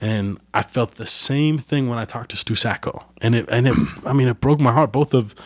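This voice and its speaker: On a very clean recording with a silent background, a man talks in a plain, everyday voice with ordinary pitch variation. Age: 20s. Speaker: podcast host and musician. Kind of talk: casual interview chat. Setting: home recording.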